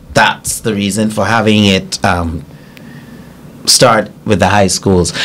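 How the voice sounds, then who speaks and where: Light background noise sits under a very slow voice with fairly even intonation. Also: man, fairly low pitch for a man. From Bahamas, Grand Bahama; Bahamas. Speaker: pageant coach and organizer; pageant coach. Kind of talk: casual interview. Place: studio. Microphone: studio mic.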